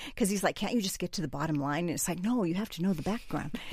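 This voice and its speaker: Somewhat breathy and full of lively intonation, a woman speaks on a very clean recording with a silent background. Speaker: roundtable participant. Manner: talkative, impulsive.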